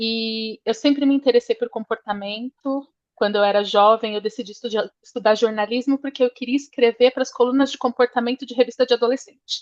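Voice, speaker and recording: A woman speaks at a fairly quick pace with hardly any pauses, her high voice moving in fairly even intonation over a dry, close sound with no echo. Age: 40s. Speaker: change management professional, course student. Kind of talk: self-introduction in online class.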